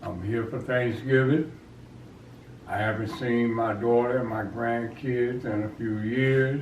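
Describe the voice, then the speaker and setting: Someone speaks at a very slow pace with an American accent. Noticeable background noise and audible room echo fill the recording. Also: man. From US South (Georgia), then Philadelphia from age 12. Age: 70s. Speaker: retired-age contractor, interviewed grandfather. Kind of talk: family interview, life story. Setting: at home with family for Thanksgiving.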